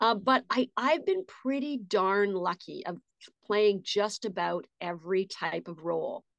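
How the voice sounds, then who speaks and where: A woman uses a normal speaking voice at medium pitch, speaking at a fairly slow pace with lively intonation, and the sound is dry and close, with no echo. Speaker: voice actress. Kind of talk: casual interview chat.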